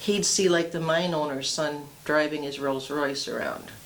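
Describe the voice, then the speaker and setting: With audible room echo and noticeable background noise, a woman talks at a fairly slow pace with fairly even intonation. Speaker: oral history interviewee, widow of a former mayor. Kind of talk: oral history interview.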